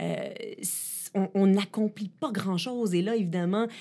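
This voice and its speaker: The recording is very clean with a silent background, and the speech has ordinary pitch variation. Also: woman. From Ottawa and Quebec, Canada. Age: 40s. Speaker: journalist and tech columnist. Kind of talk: interview.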